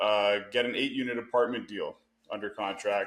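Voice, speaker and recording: With a Canadian accent, a man speaks in an unremarkable speaking voice at a medium pitch. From Canada. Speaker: real estate investor. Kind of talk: podcast interview. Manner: filler-heavy, conversational.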